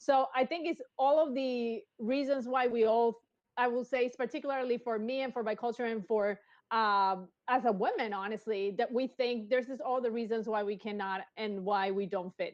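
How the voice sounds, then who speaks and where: A woman speaks with a Spanish accent at a fairly high pitch. Her pace is moderate, with ordinary pitch variation. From Colombia. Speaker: engineer. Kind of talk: interview. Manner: energetic.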